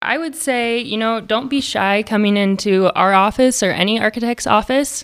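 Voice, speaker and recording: A woman with an American accent speaks in a normal speaking voice at a moderate pace. Her pitch varies in an ordinary way on a very clean recording with a silent background. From Idaho. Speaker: architect. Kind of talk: interview.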